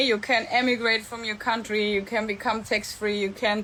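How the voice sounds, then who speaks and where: A woman's fairly high voice in a German accent at a moderate pace. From Germany. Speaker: entrepreneur and mentor. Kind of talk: live stream monologue. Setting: live stream. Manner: casual, with fillers.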